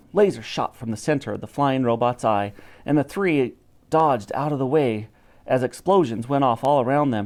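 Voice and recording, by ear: The pitch varies in an ordinary way as text is read aloud in a natural voice.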